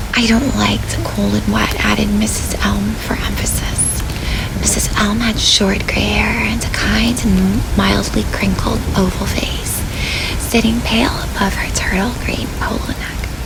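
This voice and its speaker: Whispering in a gentle tone, a woman speaks at a fairly slow pace. Noticeable background noise is present. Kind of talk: bedtime story reading. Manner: soft-spoken, gentle.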